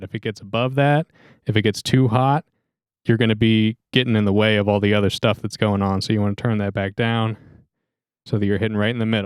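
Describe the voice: Speaking at a fairly quick pace, a man uses a fairly low voice with a clear, smooth tone and fairly even intonation.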